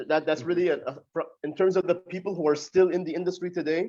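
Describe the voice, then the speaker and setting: The voice is loud, with a dark, mellow tone. It rushes at a very fast pace in a monotone, flat intonation. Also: man. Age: 20s. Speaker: pro wrestler. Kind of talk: interview.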